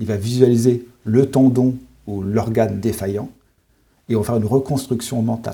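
With a dark, mellow, somewhat breathy tone, a man speaks at a medium pitch and moderate pace in a monotone, flat intonation broken by long, frequent pauses. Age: 40s. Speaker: sophrologist and forest therapist. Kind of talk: interview.

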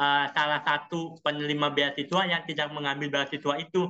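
A man talks at a moderate pace with a fairly high pitch. He has a plain, everyday voice. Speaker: scholarship alumnus, former master's student in Europe. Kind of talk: casual interview.

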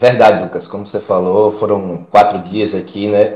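A man is speaking. His pace is moderate. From Alagoas, Brazil (Maceió). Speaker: former footballer and fitness coach. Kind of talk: casual interview.

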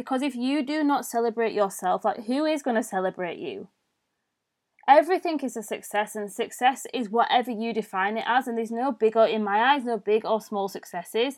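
On a very clean recording with a silent background, a woman with a British accent talks fairly quickly in a fairly high pitch with lively intonation. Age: 20s. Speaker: mindset and self-love coach, podcast host. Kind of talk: solo podcast monologue. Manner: informal, conversational.

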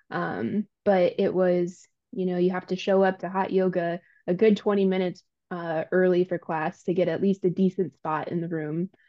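A woman speaks at a moderate pace and medium pitch. Her intonation is monotone and flat. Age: 30s. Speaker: gym client. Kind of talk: casual interview.

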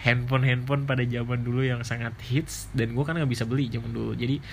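A man's somewhat breathy, relaxed voice in monotone, flat intonation, with hardly any pauses and audible room echo. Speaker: podcaster and YouTuber. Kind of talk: casual monologue. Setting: bedroom in boarding house at night. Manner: relaxed, lying down late at night.

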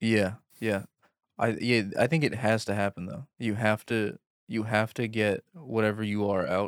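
An unremarkable speaking voice: a man with a fairly low pitch and an American accent, talking at a moderate pace with fairly even intonation. The sound is dry and close, with no echo. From Queens, New York. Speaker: comedian guest. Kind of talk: casual chat. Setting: studio.

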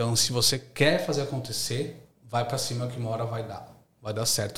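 A man speaks at a medium pitch and a moderate pace. His intonation is fairly even, and there is noticeable background noise. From São Paulo city, East Zone, Brazil. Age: 30s. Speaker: university lecturer and entrepreneur. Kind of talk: casual interview chat.

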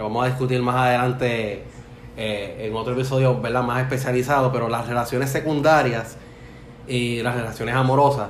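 A man speaks fairly quickly in a flat, monotone way. The room echo is audible and there's noticeable background noise. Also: medium pitch for a man. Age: 40s. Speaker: podcast host. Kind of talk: casual chat.

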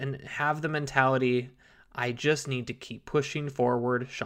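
The recording is very clean, with a silent background. The speaker sounds upbeat and talks at a fairly slow pace. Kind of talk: pep talk. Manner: encouraging and upbeat, warmly motivational; conversational, fluent, paced like a coach building to a payoff.

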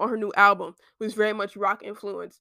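Her tone bright and sharp, a woman is heard in a very clean recording with a silent background and a dry, close sound with no echo. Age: 20s. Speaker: student podcaster. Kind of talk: casual solo chat. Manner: chatty, filler-heavy. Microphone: laptop mic.

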